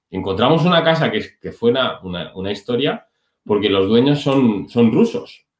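At a fairly slow pace, a man with a medium pitch speaks with very wide pitch swings. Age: 30s. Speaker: online business entrepreneur, former dental clinic director. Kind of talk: interview.

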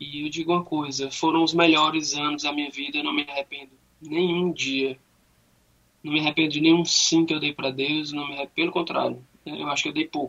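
At a fairly quick pace, a man with a fairly high-pitched voice speaks in a monotone, flat intonation. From Fortaleza, Brazil. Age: 30s. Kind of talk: radio interview, faith testimony.

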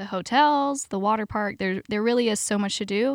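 In an ordinary speaking voice, a woman talks at a moderate pace with ordinary pitch variation, in a very clean recording with a silent background and a dry, close sound with no echo. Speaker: theme park PR manager. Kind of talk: casual interview.

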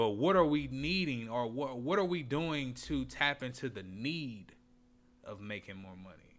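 With an American accent and an ordinary speaking voice, a man talks at a fairly slow pace and medium pitch, his intonation lively and his loudness swinging widely. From Indianapolis, Indiana, US Midwest. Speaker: podcast co-host, business owner. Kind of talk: casual chat.

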